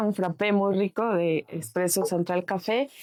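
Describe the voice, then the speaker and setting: The recording is very clean, with a silent background. A woman speaks at medium pitch in a dark, mellow tone. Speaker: politician. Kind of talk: interview. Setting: café.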